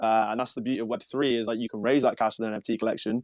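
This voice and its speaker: A man with a British accent and fairly even intonation, dry and close with no echo, on a very clean recording with a silent background. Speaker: NFT project founder. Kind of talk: casual chat.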